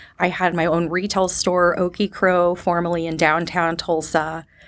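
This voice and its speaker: Using a normal speaking voice with an American accent, a woman of fairly low pitch talks at a fairly slow pace on a very clean recording with a silent background. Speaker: sales development representative. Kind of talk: interview.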